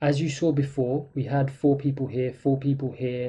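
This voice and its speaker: A man talks at a moderate pace and fairly high pitch, somewhat breathy and dark, mellow in tone, with monotone, flat intonation. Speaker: trading instructor. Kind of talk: tutorial.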